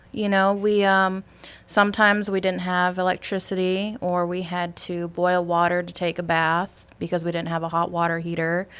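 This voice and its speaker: A woman speaks at a moderate pace in a Wisconsin accent. Her intonation is fairly even, and the recording is very clean with a silent background. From US Midwest, Superior, Wisconsin. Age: 20s. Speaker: insurance sales agent. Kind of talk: casual interview.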